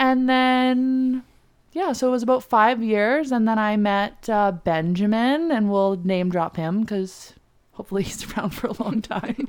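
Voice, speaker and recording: On a very clean recording with a silent background, a woman speaks at a fairly slow pace. Hers is an unremarkable speaking voice, fairly high in pitch with ordinary pitch variation. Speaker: podcast guest, host's best friend. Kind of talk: casual chat.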